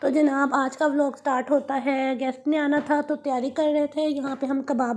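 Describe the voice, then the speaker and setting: In a high, monotone voice with flat intonation, a woman speaks at a fairly slow pace. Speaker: vlogger. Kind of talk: vlog voice-over. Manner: chatty, hesitant.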